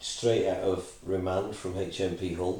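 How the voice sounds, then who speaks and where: A man talks over noticeable background noise. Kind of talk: casual interview.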